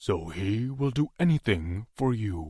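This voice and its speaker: In a growling, put-on character voice, a man speaks with lively intonation on a very clean recording with a silent background. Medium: read story. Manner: blunt, gruff.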